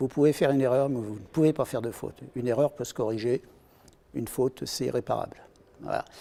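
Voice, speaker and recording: A man's medium-pitched voice with a dark, mellow tone, at a very fast pace with fairly even intonation, on a very clean recording with a silent background. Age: 60s. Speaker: retired aviation engineer. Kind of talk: interview. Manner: hesitant, many fillers.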